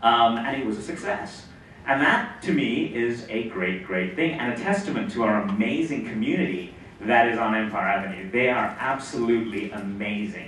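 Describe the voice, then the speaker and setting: Over noticeable background noise and audible room echo, a man at medium pitch speaks with lively intonation. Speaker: tech company CEO. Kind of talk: conference talk. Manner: fast.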